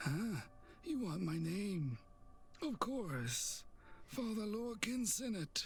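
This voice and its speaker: In a put-on character voice, a man speaks very slowly at a high pitch with very wide pitch swings, very even loudness and long, frequent pauses over clear background noise. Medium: actual play. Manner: terse, sardonic.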